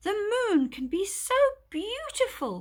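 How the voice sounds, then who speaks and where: A woman puts on a squeaky character voice, extremely high and gentle in tone. She talks fairly slowly, her pitch swinging very widely. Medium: read story.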